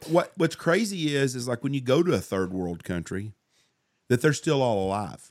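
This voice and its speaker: Over a silent background in a very clean recording, a man with a Southern US accent speaks with very wide pitch swings. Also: medium pitch for a man, moderate pace. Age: 50s. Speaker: podcast host and hunting outfitter. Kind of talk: casual chat. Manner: animated.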